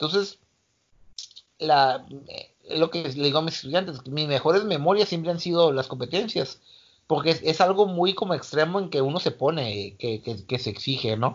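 Lively intonation marks a man's plain, everyday voice, fairly high in pitch and at a moderate pace. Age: 40s. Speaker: martial arts coach. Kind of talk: casual interview.

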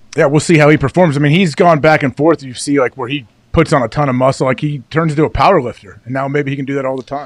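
Talking at a very fast pace, the man leaves hardly any pauses. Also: fairly high pitch for a man, fairly even intonation. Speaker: former pro football player, show co-host. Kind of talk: casual sports talk chat.

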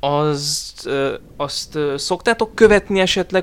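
A man with a fairly high pitch and lively intonation, in a very clean recording with a silent background. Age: 20s. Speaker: podcast host and forum roleplay moderator. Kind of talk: casual chat.

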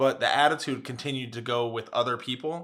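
A man talks at a fairly quick pace and medium pitch, his tone bright and sharp and his intonation fairly even. The recording is very clean, with a silent background. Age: 20s. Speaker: podcast co-host. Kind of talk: casual chat.

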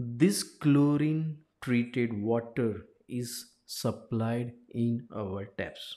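With a Gujarati accent, a man at medium pitch talks at a very slow pace in a dark, mellow tone with ordinary pitch variation. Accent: Indian English (Gujarati). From India, Gujarat (Ahmedabad). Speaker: life coach and engineer. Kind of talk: informational talk.

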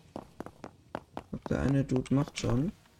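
A man is speaking. Background noise is noticeable. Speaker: gaming YouTuber. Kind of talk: let's play commentary. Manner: casual, animated.

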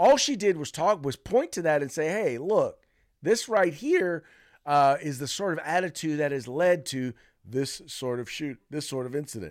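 In a very clean recording with a silent background, an animated man with a fairly high pitch speaks at a moderate pace with lively intonation. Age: 50s. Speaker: podcast host. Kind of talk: casual commentary.

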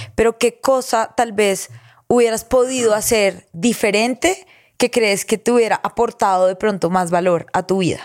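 A woman speaks at a fairly slow pace with ordinary pitch variation and very even loudness. The sound is dry and close, with no echo. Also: fairly high pitch for a woman. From Colombia, Girardot. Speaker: podcast host and content creator. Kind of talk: casual interview chat.

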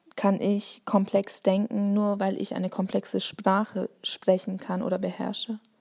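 Speaking with a Bavarian accent, a woman sounds somewhat breathy at a fairly slow pace. Her intonation is monotone and flat. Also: medium pitch for a woman. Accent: Bavarian, noticeable. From Bavaria, Germany. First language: Turkish (speaking German). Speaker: teacher and podcaster. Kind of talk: solo monologue. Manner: hesitant, many fillers.

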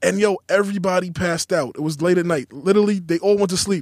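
In a New York accent, a man speaks at a very fast pace with high pitch and ordinary pitch variation, the sound dry and close with no echo. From New York City, Queens. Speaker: rapper. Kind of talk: casual interview. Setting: studio.

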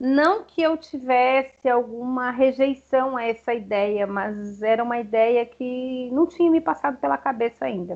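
This woman speaks at a very slow pace with a high pitch. Her pitch variation is ordinary. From Rio Grande do Sul, Brazil (small interior town). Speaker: chemistry professor and researcher. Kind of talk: interview.

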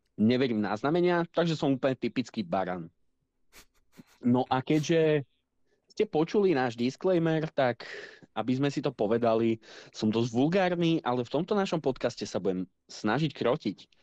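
In a normal speaking voice, a man at medium pitch talks at a moderate pace with lively intonation and very even loudness, the sound dry and close with no echo over a quiet background. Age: 20s. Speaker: podcast co-host, gamer. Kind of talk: casual chat.

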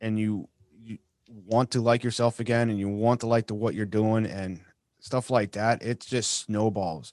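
A man with an American accent speaks at a medium pitch. His pace is fairly slow against a quiet background. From Massachusetts. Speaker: war veteran and podcast host. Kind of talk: casual interview.

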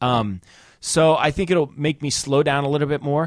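Against a very clean, silent background, a man speaks in a normal speaking voice, fairly high in pitch, at a moderate pace. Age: 30s. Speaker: podcast co-host. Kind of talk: casual banter. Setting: studio.

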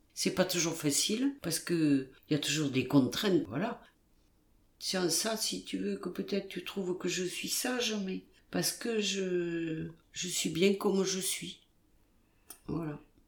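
Talking at a very slow pace with long, frequent pauses, a woman uses a fairly low voice. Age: 70s. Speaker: podcast host's grandmother, retiree. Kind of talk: casual interview. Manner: halting.

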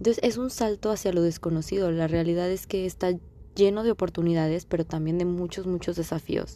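A woman speaks at a fairly quick pace. Her voice has a fairly low pitch and a dark, mellow tone. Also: fairly even intonation. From Mexico. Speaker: podcast host. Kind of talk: casual monologue.

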